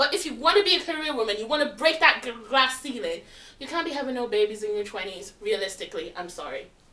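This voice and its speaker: Over noticeable background noise, a woman with a high pitch talks at a very fast pace in a raised, projected voice with very wide pitch swings. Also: big swings in loudness. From London. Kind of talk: casual group chat.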